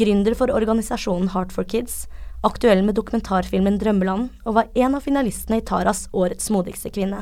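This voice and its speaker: This woman talks at a fairly quick pace in a medium pitch, with vocal fry. Her intonation stays fairly even. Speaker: podcast host. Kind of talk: casual chat; scripted narration.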